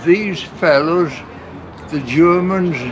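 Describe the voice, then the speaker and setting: Through noticeable background noise and audible room echo, a man with a high pitch talks at a very slow pace with fairly even intonation. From South Wales, Port Talbot. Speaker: elderly eyewitness. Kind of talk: oral history interview. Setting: public heritage open event. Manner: halting, many hesitations.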